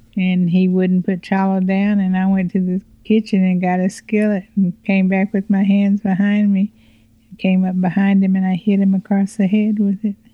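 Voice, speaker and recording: A woman's somewhat breathy voice at a moderate pace, with monotone, flat intonation. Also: medium pitch for a woman. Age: 60s. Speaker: host's mother. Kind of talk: interview.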